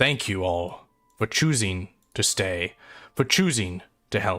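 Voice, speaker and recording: A man's put-on character voice, very deep and low in pitch, at a fairly slow pace on a very clean recording with a silent background. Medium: actual play. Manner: earnest, formal.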